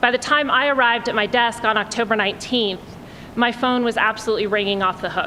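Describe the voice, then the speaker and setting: Fairly even intonation at a fairly quick pace, with noticeable background noise. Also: woman. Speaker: college dean, event speaker. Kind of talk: welcome speech. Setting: lecture hall with audience. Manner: loud, projecting. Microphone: audio problems at the start, told to stay close to the mic.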